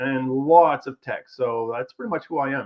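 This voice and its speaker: A man speaks with a Quebec accent at a moderate pace. His pitch varies in an ordinary way. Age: 40s. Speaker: automotive tech entrepreneur. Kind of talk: interview.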